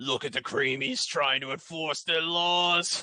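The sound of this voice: Putting on a character voice, a man speaks fairly slowly at a fairly high pitch.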